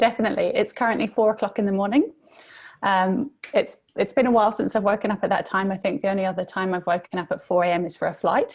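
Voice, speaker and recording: Speaking at a very fast pace, a woman uses a medium pitch with ordinary pitch variation. Her voice sounds somewhat breathy. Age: 20s. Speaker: youth mentor and author. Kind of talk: interview.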